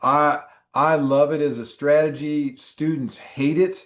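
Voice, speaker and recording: A man with a fairly high voice speaks against a quiet background. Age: 60s. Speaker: exam prep instructor. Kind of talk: online class.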